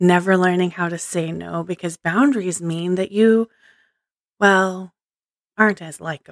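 Speech comes at a fairly slow pace with long, frequent pauses and fairly even intonation. The recording is very clean, with a silent background and a dry, close sound with no echo. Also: woman, medium pitch for a woman. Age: 40s. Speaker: podcast host. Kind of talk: inspirational monologue. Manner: unscripted, stream of consciousness.

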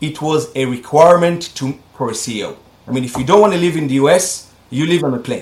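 A man with an Israeli accent speaks at a moderate pace. His fairly high voice carries lively intonation. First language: Hebrew. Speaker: medical device company CEO. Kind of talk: interview. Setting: video call.

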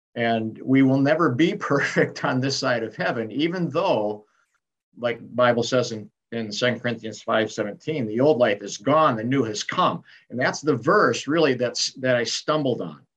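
Moderate pace, ordinary pitch variation and medium pitch from a man with a normal speaking voice. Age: 60s. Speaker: retired pastor and author. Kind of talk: interview, reflective testimony.

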